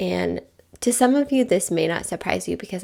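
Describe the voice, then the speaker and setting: A woman speaks in a medium pitch at a moderate pace, with vocal fry. Her tone is warm and animated. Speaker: podcast host. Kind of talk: casual monologue. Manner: warm, animated.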